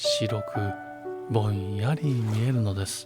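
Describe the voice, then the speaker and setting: With music in the background, a soft-spoken man talks in a gentle tone with lively intonation. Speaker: narrator. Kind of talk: sleep story reading. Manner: gentle, soft-spoken, slow.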